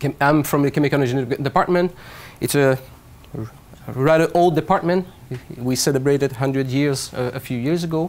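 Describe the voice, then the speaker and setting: A man speaks in a Quebec accent at medium pitch. His pace is moderate and his pitch varies in an ordinary way. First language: French. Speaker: professor. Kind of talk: lecture.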